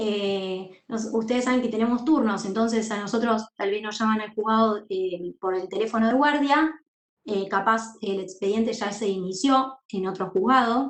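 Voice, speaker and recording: A woman talks at a fairly slow pace in a fairly high pitch with ordinary pitch variation. It is a plain, everyday voice. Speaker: university law teacher and court clerk. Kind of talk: lecture.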